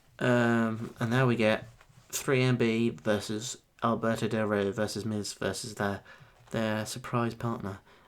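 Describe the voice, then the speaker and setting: A man in an English accent, medium in pitch, monotone and flat in intonation, at a fairly slow pace. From England. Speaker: wrestling reviewer. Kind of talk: casual review monologue. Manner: casual.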